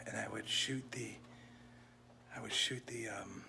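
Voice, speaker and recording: A man whispering at a fairly slow pace, with audible room echo and noticeable background noise. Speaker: vlogger and wedding officiant, former youth minister. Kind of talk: casual vlog chat.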